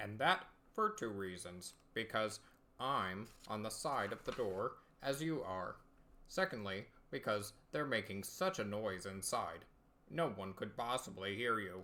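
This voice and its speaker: Putting on a character voice, a man with fairly low pitch talks at a moderate pace, leaving long, frequent pauses. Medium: read story. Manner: slow, detached, solemn.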